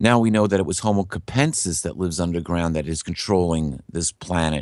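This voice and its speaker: A man's fairly quick speech is heard against a quiet background. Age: 60s. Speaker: guest on conspiracy podcast, bible prophecy researcher. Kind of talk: interview. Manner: halting.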